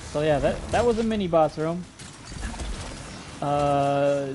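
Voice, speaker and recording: A man talks in a fairly high pitch while noticeable background noise carries on behind him. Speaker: video game streamer. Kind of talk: live gameplay commentary.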